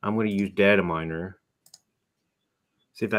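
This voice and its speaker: A man speaks in an unremarkable speaking voice at a fairly low pitch and moderate pace. His intonation is fairly even, and the recording is very clean with a silent background. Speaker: recruiter and sourcing trainer. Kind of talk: live-stream tutorial. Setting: live stream. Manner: casual, thinking aloud.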